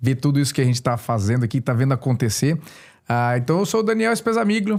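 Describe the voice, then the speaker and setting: A man with a medium-pitched voice talks at a very fast pace with very even loudness and very wide pitch swings on a very clean recording with a silent background. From Brazil, interior of São Paulo state (São José do Rio Preto). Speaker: store owner and licensee, former biologist and dentist. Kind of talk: casual podcast interview.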